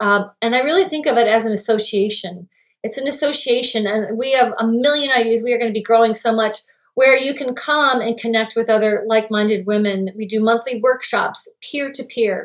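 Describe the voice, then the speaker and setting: The voice is an ordinary speaking voice, moving at a fairly quick pace with ordinary pitch variation. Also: woman, fairly high pitch for a woman. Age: 50s. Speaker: holistic health coach. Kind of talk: casual chat.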